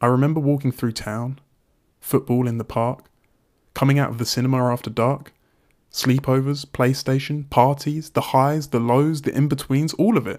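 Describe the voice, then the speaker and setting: A man's medium-pitched voice at a moderate pace with fairly even intonation, on a very clean recording with a silent background. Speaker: voice-message poet. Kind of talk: intimate spoken-word letter, confessional and reflective, poetic monologue. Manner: soft, wistful, halting, emotionally raw.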